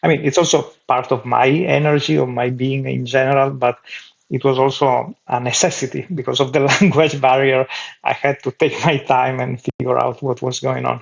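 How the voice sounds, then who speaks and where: With an Italian accent, a man speaks at a moderate pace. His pitch is medium, and his intonation stays fairly even. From Italy. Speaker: clown. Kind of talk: interview.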